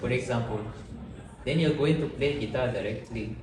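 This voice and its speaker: A man with a Malagasy accent talks at a moderate pace with ordinary pitch variation, amid noticeable background noise and audible room echo. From Madagascar. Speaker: podcast guest. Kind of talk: interview. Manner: halting.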